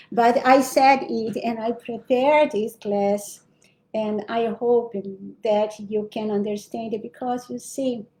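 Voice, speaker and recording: This woman has a fairly high pitch and a dark, mellow tone. She talks at a very slow pace with fairly even intonation. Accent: Brazilian. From Brazil. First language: Portuguese. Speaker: spiritual teacher. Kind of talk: spiritual lecture. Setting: livestream. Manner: halting, with self-corrections.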